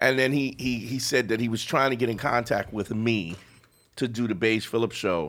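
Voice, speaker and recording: A man at a medium pitch, with a New York accent, at a moderate pace. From Brooklyn, New York. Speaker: comedian. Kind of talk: casual chat.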